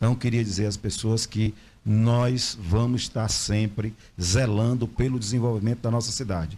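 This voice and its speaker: A man's voice, somewhat breathy, with a dark, mellow tone and fairly even intonation. The recording is very clean over a silent background. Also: medium pitch for a man, moderate pace. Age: 50s. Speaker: local political representative. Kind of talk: interview.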